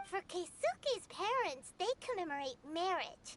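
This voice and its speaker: In a put-on character voice, a female-sounding speaker uses an extremely high pitch and a bubbly tone at a fairly slow pace. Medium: video game. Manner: bubbly, talkative.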